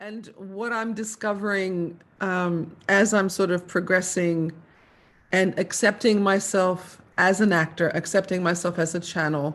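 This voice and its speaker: A woman speaks at a medium pitch with an American accent. Her pace is fairly slow and her intonation fairly even. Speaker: psychic channel and actor. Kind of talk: personal testimony interview. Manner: hesitant, with fillers.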